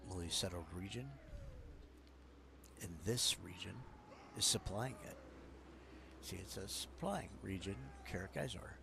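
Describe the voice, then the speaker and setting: A soft-spoken man with a very deep, low voice, lively intonation, a fairly slow pace, long and frequent pauses, and audible room echo. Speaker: gaming streamer. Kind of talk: gameplay commentary. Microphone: quiet, may need volume up.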